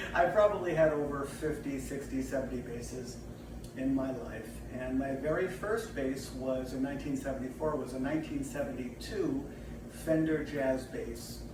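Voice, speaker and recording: Moderate speed from a male speaker, amid noticeable background noise and audible room echo. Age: 60s. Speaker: bass player. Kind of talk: casual talk to camera. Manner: hesitant, many fillers.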